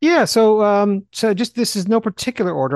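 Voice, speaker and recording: The tone is animated and the pace fairly quick. The sound is dry and close with no echo, over a quiet background. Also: man. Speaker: Bible teacher and podcast co-host. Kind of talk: casual chat. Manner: fast talker; animated, excitable.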